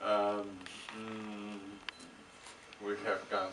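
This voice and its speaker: A man with a fairly low pitch is heard with audible room echo and noticeable background noise. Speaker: film director. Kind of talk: Q&A with audience, interpreting. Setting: cinema stage with audience. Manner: halting, many fillers.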